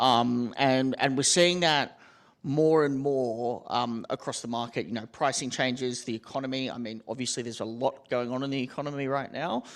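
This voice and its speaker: Here a man with an Australian accent talks at a medium pitch. His intonation is fairly even and his pace moderate. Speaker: tech company executive. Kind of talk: panel discussion. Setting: stage with audience.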